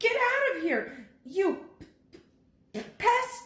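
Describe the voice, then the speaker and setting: This squeaky, put-on character voice sits at an extremely high pitch and swings very widely, with a slight echo around it. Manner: fierce, barking.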